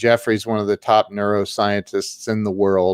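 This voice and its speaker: Recorded dry and close with no echo against a silent background in a very clean recording, a man with an American accent and an ordinary speaking voice talks at a fairly slow pace and medium pitch. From Ohio. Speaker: social media marketing coach. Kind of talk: casual interview.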